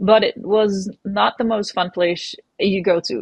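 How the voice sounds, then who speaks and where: A woman's medium-pitched voice, fairly even in intonation, in a dry, close sound with no echo. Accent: Dutch. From Netherlands. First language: Dutch. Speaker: professional mountain biker. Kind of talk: interview. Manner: hesitant, with fillers.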